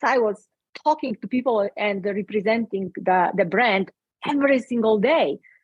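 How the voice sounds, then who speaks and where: Her pitch fairly high, a woman talks at a moderate pace with lively intonation. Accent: Polish. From Poland. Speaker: speaker and coach. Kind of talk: interview. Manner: halting.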